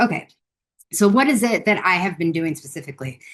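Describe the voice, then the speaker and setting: At a fairly quick pace, a woman speaks with an American accent and ordinary pitch variation. Her voice is somewhat breathy. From United States. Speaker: conservator and researcher. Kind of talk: conference presentation. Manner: casual, with many fillers.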